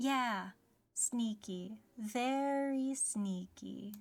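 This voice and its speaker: Someone mumbles in a put-on character voice. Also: woman, fairly high pitch for a woman. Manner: mumbling.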